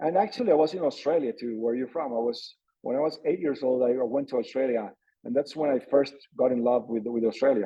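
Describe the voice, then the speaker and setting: Medium pitch, a very fast pace and ordinary pitch variation in a man's speech. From Colombia (Medellin). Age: 40s. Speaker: former pro mountain bike racer. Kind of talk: podcast interview. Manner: halting, many fillers. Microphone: connection difficulties.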